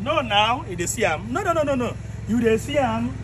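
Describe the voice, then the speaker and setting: A man's raised, projected voice at a moderate pace over light background noise. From Nigeria, Igbo southeast. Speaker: vlogger; comedian in a skit. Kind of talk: walking tour commentary. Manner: animated. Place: garden. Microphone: phone near.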